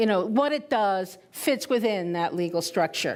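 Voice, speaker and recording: Speaking with a Spanish accent, a woman keeps a moderate pace. Her pitch swings very widely. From Puerto Rico. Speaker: retired intelligence officer, conference speaker. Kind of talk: conference talk. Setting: stage with audience. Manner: conversational, with hesitations.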